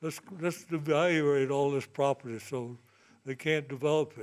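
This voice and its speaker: Over a very clean recording with a silent background, a man with a fairly high pitch speaks at a fairly slow pace with fairly even intonation. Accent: Virginia. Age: 80s+. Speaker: landowner giving public comment. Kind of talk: public comment at meeting. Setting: public meeting.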